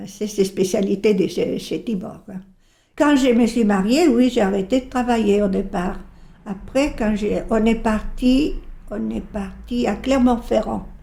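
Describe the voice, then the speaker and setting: Speaking very slowly, a woman uses a dark, mellow tone with vocal fry. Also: fairly high pitch for a woman, ordinary pitch variation, big swings in loudness. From Bolivia. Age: 80s+. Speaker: retiree. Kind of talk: interview testimony.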